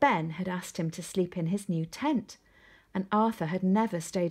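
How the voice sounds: A natural reading voice is used here, and its pitch varies in an ordinary way.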